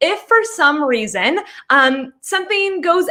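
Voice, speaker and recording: A woman speaks in a raised, projected voice with an animated tone. Her tone is bright and sharp. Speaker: online business coach. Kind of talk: live webinar class. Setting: livestream. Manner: fast.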